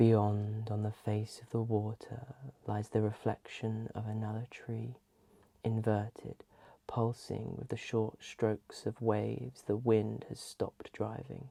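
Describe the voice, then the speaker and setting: A man speaks in a dark, mellow, somewhat breathy tone at a fairly slow pace. His intonation is flat and monotone, and the sound is dry and close with no echo. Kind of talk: ASMR poetry reading. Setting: close-mic binaural recording. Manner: soft-spoken, calming.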